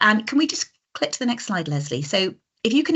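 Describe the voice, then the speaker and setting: Very wide pitch swings in a somewhat breathy voice. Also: woman. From Britain. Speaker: coaching and communication trainer. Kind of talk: online masterclass presentation. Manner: naturally fast and animated.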